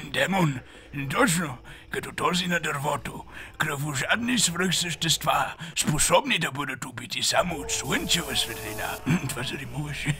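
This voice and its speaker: A man's cartoonish character voice at a fairly high pitch, over clear background noise. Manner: deadpan, dry.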